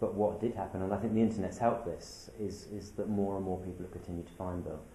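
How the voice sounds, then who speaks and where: Amid audible room echo and noticeable background noise, a man with a British accent and fairly low pitch talks at a fairly quick pace. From UK. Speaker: documentary filmmaker. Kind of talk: interview.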